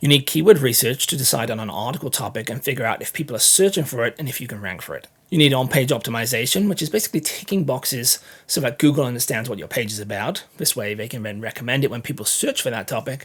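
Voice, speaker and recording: With hardly any pauses, a man races along at a very fast pace, his medium-pitched, somewhat breathy voice full of lively intonation and big swings in loudness. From England. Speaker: content marketing educator. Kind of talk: tutorial.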